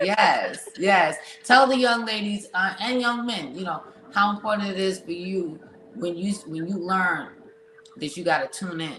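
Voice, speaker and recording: A woman with a New York accent speaks at a fairly slow pace and medium pitch, with ordinary pitch variation and an animated tone. Noticeable background noise is present. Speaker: podcast host. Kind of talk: casual interview chat.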